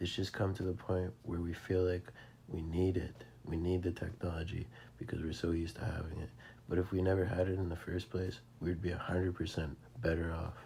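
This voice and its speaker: A man's very deep, low voice, dark and mellow, with some breathiness. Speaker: religious video commentator. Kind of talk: narrated slideshow commentary. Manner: quiet, not very clear; casual, informal.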